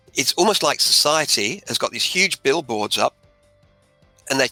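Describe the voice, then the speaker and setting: A man with an Australian accent in a dry, close sound with no echo, music in the background. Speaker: author and motivational speaker. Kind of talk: interview answer.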